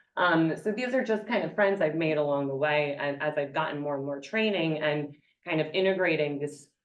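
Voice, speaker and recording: In an American accent, a woman speaks at a moderate pace with a very deep, low pitch and ordinary pitch variation, and audible room echo surrounds her voice. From New York. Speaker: gerontology professor. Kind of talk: conference presentation.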